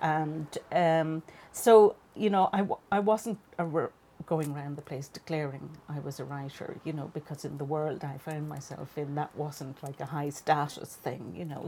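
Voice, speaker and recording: A woman with an Irish accent, very deep and low in pitch, dark and mellow in tone, with ordinary pitch variation at a moderate pace. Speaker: fiction writer. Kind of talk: casual chat.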